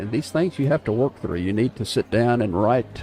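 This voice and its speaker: A man talks in a South Texas accent. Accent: southern Texas drawl. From North Texas, Wichita Falls area. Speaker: live stream host, social media coach. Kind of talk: casual live stream talk. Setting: coffee shop live broadcast.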